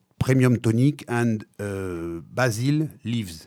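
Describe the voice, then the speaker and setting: Ordinary pitch variation from a man at a medium pitch, at a very slow pace. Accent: French. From Africa (born Madagascar), French-speaking. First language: French. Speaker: wine and spirits company manager. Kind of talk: interview. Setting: studio. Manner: halting, many hesitations.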